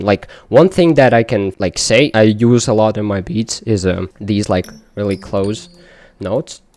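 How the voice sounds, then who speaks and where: The dry, close recording with no echo carries a man with a non-native accent speaking at a moderate pace. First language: not English. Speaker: music producer. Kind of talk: tutorial. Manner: casual, many fillers.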